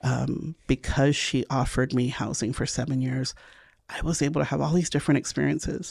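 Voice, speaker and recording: A woman's very deep, low voice, dark and mellow, with vocal fry and ordinary pitch variation. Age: 50s. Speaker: city council candidate. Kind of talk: interview.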